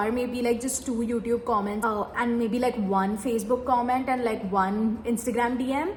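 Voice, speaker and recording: The speaker has a Tamil accent and keeps a moderate pace. Noticeable background noise and audible room echo are present. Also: woman. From India, Mumbai. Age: 20s. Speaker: medical graduate and YouTuber. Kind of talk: Q&A vlog, casual talk.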